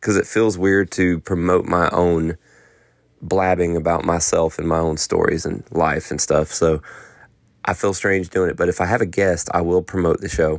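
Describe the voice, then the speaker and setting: Over a very clean recording with a silent background, a man talks in a relaxed tone at a very deep, low pitch. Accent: Southern US. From North Carolina. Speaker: podcast host and songwriter. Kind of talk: casual solo monologue. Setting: home office late at night. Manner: relaxed, conversational.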